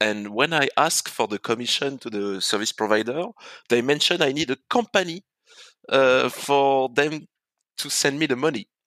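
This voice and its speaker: A man with a French accent speaks at a moderate pace in a fairly high, bright, sharp voice with lively intonation and a dry, close sound with no echo. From France. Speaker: real estate entrepreneur. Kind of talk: interview.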